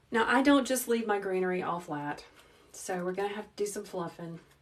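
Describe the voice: A woman speaks at a medium pitch with ordinary pitch variation and a calm, gentle tone. Her pace is fairly quick, and audible room echo surrounds her voice.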